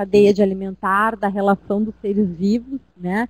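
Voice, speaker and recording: A woman speaks in a monotone, flat intonation, the sound dry and close with no echo. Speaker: teacher. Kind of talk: lecture. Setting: web conference class.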